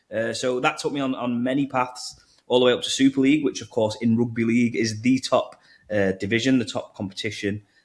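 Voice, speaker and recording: This man has a strong northern English accent and a medium pitch. He talks at a fairly quick pace with fairly even intonation. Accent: thick northern English. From northern England. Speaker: crypto marketing executive. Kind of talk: podcast interview.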